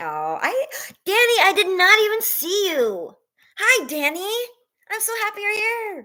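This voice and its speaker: A woman with an extremely high pitch and a bright, sharp tone projects her raised voice at a fairly slow pace, her intonation lively and her pauses long and frequent. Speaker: livestreamer. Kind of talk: casual chat. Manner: animated.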